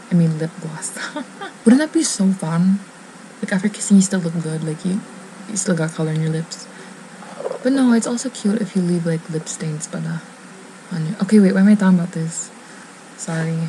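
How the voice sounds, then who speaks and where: A woman whispering at a fairly quick pace, broken by long, frequent pauses, over noticeable background noise. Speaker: beauty vlogger. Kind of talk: casual vlog chat.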